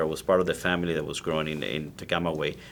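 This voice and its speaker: A man is speaking here. His pace is fairly quick. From Cuba (Ciego de Avila, Camagüey). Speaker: cigar maker. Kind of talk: interview. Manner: passionate, animated.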